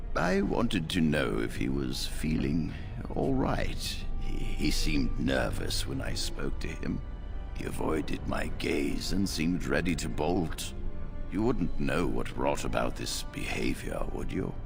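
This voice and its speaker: Loud music plays behind a put-on character voice delivered at a fairly slow pace. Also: man, very deep, low pitch for a man. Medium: machinima. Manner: authoritative, measured.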